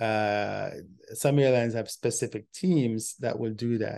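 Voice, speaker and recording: This man speaks at a very slow pace, his tone dark and mellow, with ordinary pitch variation. The background is quiet. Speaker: travel show host. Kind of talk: casual explanatory talk. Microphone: webcam.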